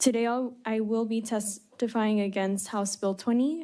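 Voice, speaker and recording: Over a quiet background, a woman with a fairly high pitch and a dark, mellow tone speaks at a moderate pace with fairly even intonation. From El Paso, Texas. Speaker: student activist. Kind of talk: legislative testimony. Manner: formal.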